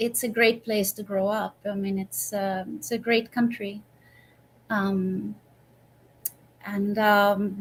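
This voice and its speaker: Somewhat breathy woman at medium pitch, with ordinary pitch variation, a very slow pace and long, frequent pauses. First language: Swedish. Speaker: professional violinist. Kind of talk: interview. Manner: halting, many repetitions.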